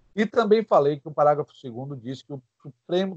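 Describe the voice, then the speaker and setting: A man's normal speaking voice, fairly high-pitched with lively intonation and a fairly quick pace, in a dry, close sound with no echo. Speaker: law teacher. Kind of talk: lecture.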